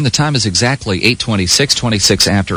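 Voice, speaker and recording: A man with an American accent talks at a fairly quick pace and with ordinary pitch variation, in an ordinary speaking voice. The recording is very clean, with a silent background. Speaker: morning radio co-host. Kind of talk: morning radio show banter and station ID.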